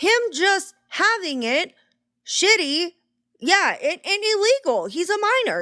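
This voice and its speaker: A woman's raised, projected voice sounds bright and sharp, with an animated tone. Her pitch swings very widely on a very clean recording with a silent background. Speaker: true crime commentator. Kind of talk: reaction commentary. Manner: loud.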